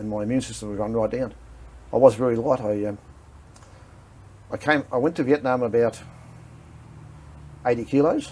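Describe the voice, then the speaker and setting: A man with an Australian accent and medium pitch, fairly quick pace, fairly even intonation and long, frequent pauses. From Victoria, Australia. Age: 50s. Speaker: war veteran. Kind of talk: interview. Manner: halting.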